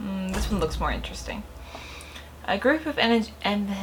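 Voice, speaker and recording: Noticeable background noise sits under the woman's fairly slow speech. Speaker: gaming youtuber. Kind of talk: let's play commentary. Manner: casual, thinking aloud; reading game text aloud.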